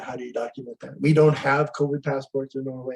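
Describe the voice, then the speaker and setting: A man's fairly high, somewhat breathy voice with an American accent, dark and mellow in tone, in a monotone, flat delivery. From US, California-Mexico border. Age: 70s. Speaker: astrologer. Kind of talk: casual interview.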